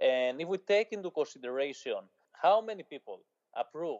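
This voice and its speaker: At a moderate pace, a man speaks with a Greek accent and a fairly high pitch. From Greece. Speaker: journalist. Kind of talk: interview.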